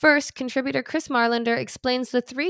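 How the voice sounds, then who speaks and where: The sound of this woman's voice is dry and close, without any echo. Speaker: magazine editor and podcast host. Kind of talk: scripted narration.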